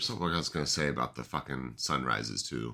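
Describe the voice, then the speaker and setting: A loud voice with vocal fry and a bright, sharp tone moves at a fairly quick pace with lively intonation. The recording is very clean, with a silent background. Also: man. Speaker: podcast host. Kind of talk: casual chat. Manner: loud, projecting.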